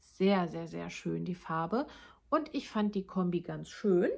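Slow-paced speech comes from a woman, fairly slow overall. Her voice is somewhat breathy, with a dark, mellow tone. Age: 30s. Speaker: knitting vlogger. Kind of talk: casual monologue to viewers. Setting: home, recording alone.

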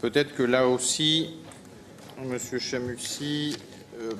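A man's medium-pitched voice, monotone and flat in intonation, at a very slow pace over light background noise. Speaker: mayor chairing city council. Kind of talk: council meeting chairing. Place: hall. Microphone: podium.

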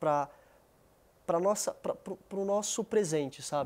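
A man talks with ordinary pitch variation. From São Paulo, Brazil. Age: 30s. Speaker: retired MMA fighter. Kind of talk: casual chat.

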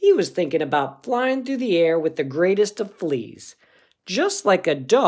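The speaker reads aloud. The voice is natural.

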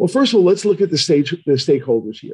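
Against a quiet background, a man talks at a fairly quick pace. His tone is dark and mellow, and his voice is somewhat breathy. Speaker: neuroradiologist; presenter. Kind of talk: lecture. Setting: online webinar. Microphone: webcam.

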